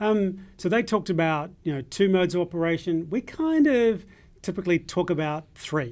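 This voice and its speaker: A man with a high voice speaks at a moderate pace with ordinary pitch variation. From New Zealand. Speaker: cloud solution architect. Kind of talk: casual tech chat.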